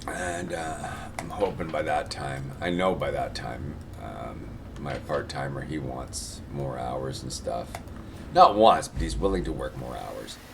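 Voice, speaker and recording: A man talks at a fairly slow pace in a very deep, low pitch, his intonation lively and his loudness swinging widely. Noticeable background noise and audible room echo fill the recording. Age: 60s. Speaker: gaming streamer and store owner. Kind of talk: casual chat. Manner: halting.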